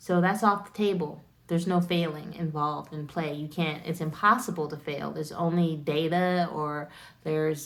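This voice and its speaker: With an American accent, a woman talks at a moderate pace in a fairly low pitch, keeping her intonation fairly even. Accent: American accent, self-remarked. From United States. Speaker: wellness content creator. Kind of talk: casual educational talk to camera. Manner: casual, filler-heavy.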